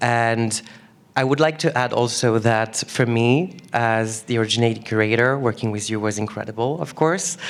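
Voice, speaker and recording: With a French accent, a man of medium pitch talks at a moderate pace, his pitch varying in an ordinary way. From France. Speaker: exhibition curator. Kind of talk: onstage conversation.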